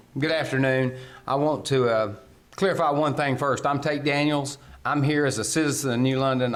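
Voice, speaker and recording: A man with a North Carolina accent talks at a very fast pace amid audible room echo. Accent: Southern American (North Carolina). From US South (North Carolina). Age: 60s. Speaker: local elected official speaking as citizen. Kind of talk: public comment at county meeting.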